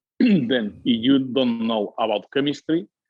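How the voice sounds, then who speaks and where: Speaking with a Spanish accent, a man keeps a fairly slow pace and ordinary pitch variation. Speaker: winery owner. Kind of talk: interview. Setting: podcast. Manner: halting, many hesitations.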